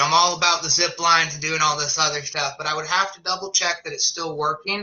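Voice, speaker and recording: Using fairly even intonation, a man speaks at a high pitch. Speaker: zipline tour manager. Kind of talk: online presentation and Q&A.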